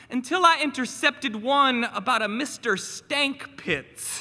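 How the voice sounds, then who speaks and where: Speaking at a very slow pace, the man projects a raised voice with an extremely high pitch and a bright, sharp tone. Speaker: teacher and spoken word poet. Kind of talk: spoken word performance. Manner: animated.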